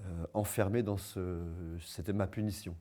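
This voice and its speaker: A man's dark, mellow tone comes across on a very clean recording with total silence behind it. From Vosges, eastern France. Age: 50s. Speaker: street performer. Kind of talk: personal testimony. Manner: hesitant, many fillers.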